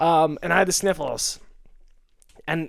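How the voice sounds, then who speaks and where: Loud and animated, a man's voice comes through. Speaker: podcast co-host. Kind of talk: casual chat.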